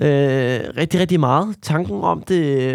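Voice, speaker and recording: Very slow male speech, ordinary in its pitch variation. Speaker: podcaster recounting prison remand. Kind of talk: personal diary-style testimony.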